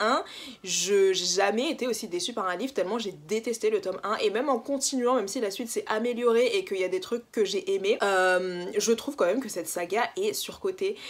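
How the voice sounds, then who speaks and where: Speaking at a fairly quick pace with hardly any pauses, a woman has a fairly high pitch. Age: 20s. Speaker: book YouTuber. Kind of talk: casual vlog monologue. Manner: animated.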